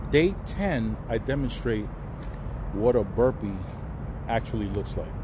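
Through noticeable background noise, a man's very deep, low voice comes across dry with no echo. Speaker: truck driver vlogger. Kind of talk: casual vlog chat. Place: street. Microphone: phone near.

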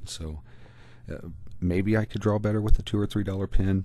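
A man's somewhat breathy voice with a dark, mellow tone and an American accent. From US Midwest. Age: middle-aged. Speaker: art YouTuber. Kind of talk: tutorial vlog narration.

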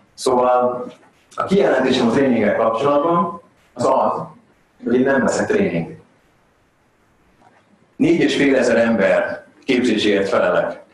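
There is audible room echo as a man talks at a medium pitch with lively intonation.

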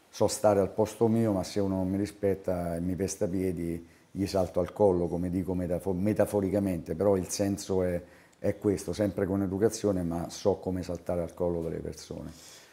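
At a fairly quick pace, a man speaks in a very deep, low voice with a dark, mellow tone and monotone, flat intonation. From Rome, Italy; Italy. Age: 60s. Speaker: basketball coach. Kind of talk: interview. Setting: on camera. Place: office. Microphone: lapel.

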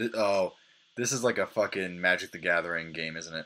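A man talks at a fairly quick pace in an animated tone, his very deep, low voice bright and sharp, with ordinary pitch variation. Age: 20s. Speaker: gaming video host. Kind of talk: gameplay commentary. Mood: amused, sarcastic. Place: home room.

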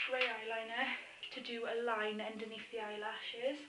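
A woman speaks in a monotone with flat intonation. Audible room echo and light background noise surround her. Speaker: makeup tutorial maker. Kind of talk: tutorial. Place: home room. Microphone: phone near.

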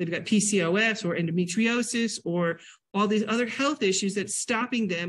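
The voice of a woman sounds somewhat breathy. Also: quiet background. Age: 60s. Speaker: nutrition educator and teacher; nutrition educator, teacher. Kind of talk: lecture. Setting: library classroom with audience, hybrid via Zoom. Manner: animated. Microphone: video call.

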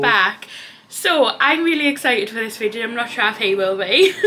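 Speaking with a Geordie accent, a woman uses a fairly high pitch with very wide pitch swings over light background noise. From Newcastle, North East England. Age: 20s. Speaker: fashion vlogger. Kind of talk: casual talk to camera. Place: home room. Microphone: camera far.

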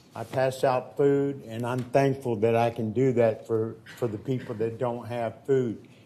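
Fairly even intonation from a man at a fairly slow pace, with audible room echo and noticeable background noise. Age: 60s. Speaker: homeless public speaker. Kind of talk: public testimony. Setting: city council chamber podium.

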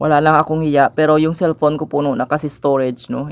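Delivery comes at a fairly quick pace with monotone, flat intonation. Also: man. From Philippines. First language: Hiligaynon (speaking Tagalog). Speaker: vlogger. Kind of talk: casual vlog. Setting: outdoors and in malls. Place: street. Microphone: phone near.

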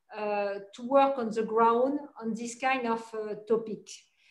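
At a fairly slow pace, a woman with a French accent speaks in a high pitch and monotone, flat intonation, with audible room echo. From France. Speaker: corporate sustainability executive. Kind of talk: interview. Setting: video call. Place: office. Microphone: video call.

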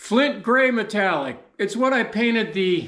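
A man's raised, projected voice with a bright, sharp tone at a very slow pace, in a quiet background with audible room echo. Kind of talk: casual vlog chat. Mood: jovial, laughing. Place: workshop. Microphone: camera far.

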